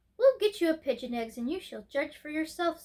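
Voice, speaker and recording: In a squeaky, put-on character voice, a woman speaks at an extremely high pitch for a woman with very wide pitch swings and a fairly quick pace. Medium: read story. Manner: warm, indulgent.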